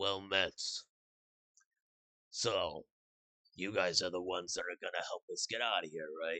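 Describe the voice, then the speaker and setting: Putting on a character voice, a man speaks raspy and fairly low at a moderate pace, with long, frequent pauses. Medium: actual play. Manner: blunt, plain-spoken.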